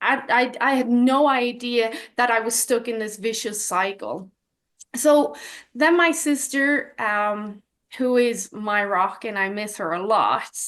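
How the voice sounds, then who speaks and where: A woman with a Dublin accent, a fairly high pitch, ordinary pitch variation, and a very slow pace. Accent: Dublin Irish. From Ireland, Dublin. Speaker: health coach. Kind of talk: personal testimony in an interview.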